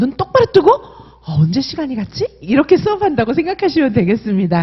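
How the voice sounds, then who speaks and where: A woman with an animated tone talks at a fairly quick pace and high pitch, her voice making very wide pitch swings. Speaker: exam prep instructor. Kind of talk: sales pitch.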